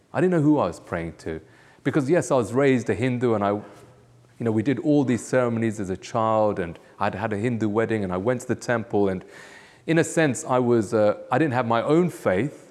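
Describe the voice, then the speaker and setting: A man talks fairly quickly with a London accent. His pitch is medium and his intonation lively. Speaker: pastor. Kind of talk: testimony interview. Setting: church. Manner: hesitant, with fillers.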